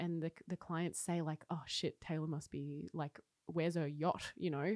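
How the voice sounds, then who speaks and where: A dry, close recording with no echo, a moderate pace and an Australian accent against a completely silent background. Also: woman. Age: 30s. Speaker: cafe owner and coffee roaster. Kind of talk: casual interview chat. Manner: animated.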